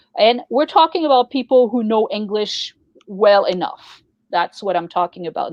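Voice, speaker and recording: A woman's fairly high voice with very wide pitch swings at a moderate pace, dry and close with no echo, over a quiet background. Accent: French. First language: French. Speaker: poetry journal co-founder and show host. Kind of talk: casual chat.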